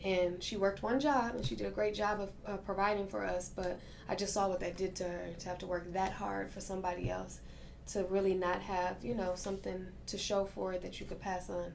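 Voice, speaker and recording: At a fairly quick pace, a woman with an American accent speaks at medium pitch with ordinary pitch variation. Noticeable background noise and audible room echo are present. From Milwaukee, Wisconsin, US Midwest. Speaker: restaurant owner. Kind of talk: interview.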